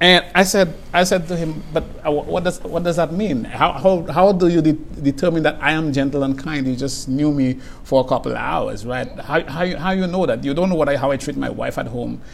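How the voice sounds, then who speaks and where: Over noticeable background noise, a man talks at a fairly quick pace with hardly any pauses. His pitch is fairly high and varies in an ordinary way. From St. Lucia. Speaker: guest speaking on faith and justice. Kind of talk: interview conversation.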